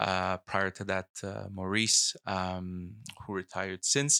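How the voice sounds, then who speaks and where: The tone is bright and sharp at a very slow pace. The sound is dry and close with no echo. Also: man. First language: not English (English is third language; French schooling). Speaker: politician. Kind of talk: casual chat.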